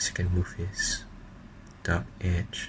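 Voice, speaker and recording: At a very slow pace, a man speaks in a whisper. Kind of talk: ASMR card unboxing. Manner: whispered.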